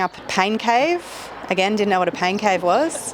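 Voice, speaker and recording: A woman with an Australian accent talks over noticeable background noise. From Australia, Brisbane. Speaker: triathlon social media creator and supporter. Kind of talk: podcast interview.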